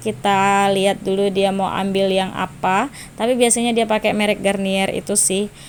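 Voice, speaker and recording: Her intonation is monotone and flat as a woman talks at a moderate pace. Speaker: vlogger. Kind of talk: voice-over vlog narration. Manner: casual, chatty with filler.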